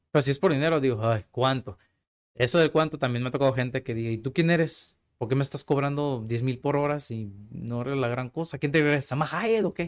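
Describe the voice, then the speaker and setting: Recorded very cleanly against a silent background, a man speaks in a plain, everyday voice at a fairly quick pace. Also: medium pitch for a man, ordinary pitch variation. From Mexico, Tijuana. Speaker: casting agency founder and film student. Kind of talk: casual interview conversation.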